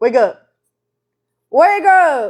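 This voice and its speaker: A put-on character voice, high-pitched, in a Southern US accent. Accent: southern American. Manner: urgent, waking someone.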